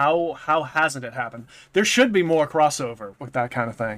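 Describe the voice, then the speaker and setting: A man with a slight Boston accent speaks at a fairly quick pace, his pitch fairly high and his tone bright and sharp. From New England, US. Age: 30s. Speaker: YouTube content creator. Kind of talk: casual chat.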